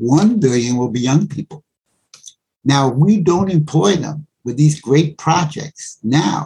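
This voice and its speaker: A man with an American accent speaks at a fairly slow pace in a fairly high pitch, his dark, mellow tone somewhat breathy and his intonation lively. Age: 70s. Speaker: Africa researcher and lecturer. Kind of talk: interview.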